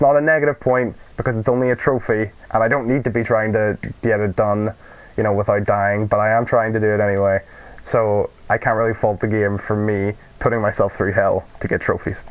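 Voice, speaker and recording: A man's fairly low voice in a Northern Irish accent, fairly quick and fairly even in intonation. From Northern Ireland. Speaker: gaming YouTuber. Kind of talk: let's play commentary. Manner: casual, rambling with fillers.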